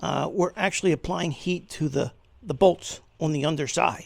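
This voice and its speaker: At a fairly slow pace, a man speaks in a fairly high pitch with vocal fry. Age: 60s. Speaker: retired flight nurse doing DIY car repair. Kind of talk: casual tutorial. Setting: home garage. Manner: halting, many fillers.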